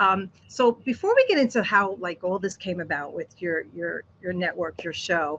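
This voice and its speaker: A woman's unremarkable speaking voice with an American accent, medium in pitch, lively in intonation, at a moderate pace against a quiet background. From Brooklyn, New York. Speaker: interview show host. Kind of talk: interview.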